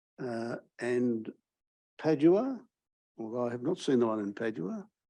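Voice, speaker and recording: A man's dark, mellow, medium-pitched voice with ordinary pitch variation and a moderate pace. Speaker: law professor introducing a speaker. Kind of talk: seminar introduction speech.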